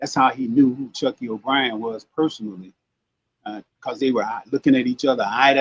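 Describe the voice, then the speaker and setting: Delivered at a moderate pace, the speech sounds dry and close, without any echo. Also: man. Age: 60s. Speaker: self-described witness to a mob killing. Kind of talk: interview testimony. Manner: animated.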